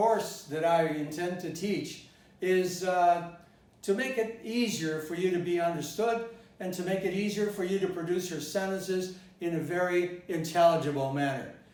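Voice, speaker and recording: With a General American accent, this man talks at a high pitch over noticeable background noise and audible room echo. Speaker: English pronunciation teacher. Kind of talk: lecture. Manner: deliberate, demonstrating pronunciation.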